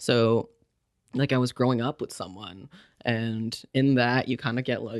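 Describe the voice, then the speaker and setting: Heard dry and close with no echo, a man speaks at a medium pitch and moderate pace in a very clean recording with a silent background. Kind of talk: casual chat. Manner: halting.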